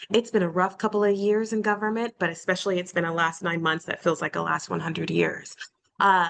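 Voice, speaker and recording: Here a woman speaks with a fairly low pitch. Her intonation stays fairly even. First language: not English. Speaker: alumni panelist, government communications professional. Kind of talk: panel discussion on video call.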